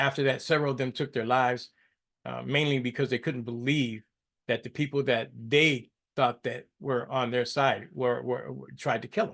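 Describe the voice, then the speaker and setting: Over a quiet background, a man with vocal fry speaks at a moderate pace and medium pitch, with fairly even intonation. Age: 60s. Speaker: podcast host. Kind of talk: solo political commentary podcast. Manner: halting, repetitive.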